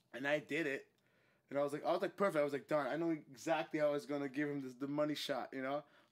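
A man at a fairly high pitch, very fast pace and fairly even intonation. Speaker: actor and podcast host. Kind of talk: casual chat.

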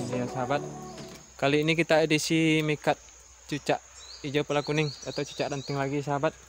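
The man talks very fast while clear music sounds behind him. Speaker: outdoor bird-trapping vlogger. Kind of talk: casual vlog chat. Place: forest. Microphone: phone near.

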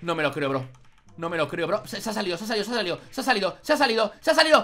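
The speaker is a man. Faint music plays in the background. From Spain. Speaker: gaming youtuber. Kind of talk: let's play commentary; excited gameplay commentary. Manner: animated; excitable, exclaiming. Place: home room. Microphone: studio mic.

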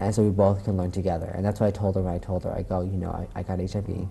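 Very fast and monotone, a man speaks in a fairly low pitch with a dark, mellow tone and a somewhat breathy quality. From US, moved around. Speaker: TV talk show guest. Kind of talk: interview. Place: studio. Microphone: lapel.

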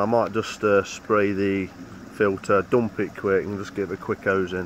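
Against light background noise, a man speaks in a fairly low, flat monotone, the sound dry with no echo. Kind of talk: casual vlog chat. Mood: reflective, personal. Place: garden. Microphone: phone near.

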